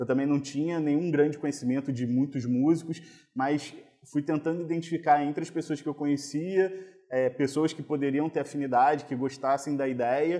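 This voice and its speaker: A man with a normal speaking voice, fairly high in pitch, at a moderate pace with fairly even intonation. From Rio de Janeiro, Brazil (Copacabana). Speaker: oncologist and carnival band founder. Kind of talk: interview conversation. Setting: podcast recording.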